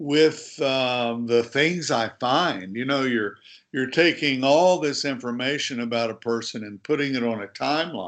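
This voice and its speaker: This man has an American accent and a plain, everyday voice, with medium pitch and ordinary pitch variation. He talks at a fairly slow pace with hardly any pauses, against a quiet background. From USA. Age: 60s. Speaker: author and sports journalist. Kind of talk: interview.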